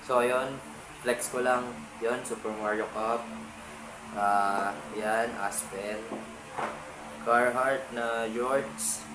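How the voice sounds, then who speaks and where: Amid noticeable background noise and audible room echo, a man at medium pitch talks very slowly with long, frequent pauses and ordinary pitch variation. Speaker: vintage clothing reseller vlogger. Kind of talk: casual vlog. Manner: casual, halting with fillers.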